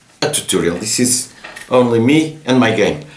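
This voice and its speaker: With lively intonation and a medium pitch, a man speaks at a moderate pace amid noticeable background noise and audible room echo. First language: Portuguese. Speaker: board game designer. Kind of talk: casual game explanation. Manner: halting, many repetitions.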